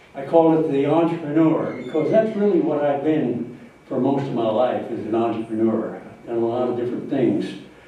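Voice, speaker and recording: Over noticeable background noise and audible room echo, a man with an American accent talks at a moderate pace in a fairly high voice with lively intonation. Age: 90s. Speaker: retired entrepreneur and lawyer giving a life-story talk. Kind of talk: speech to an audience. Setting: talk to a live audience. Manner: halting, many fillers.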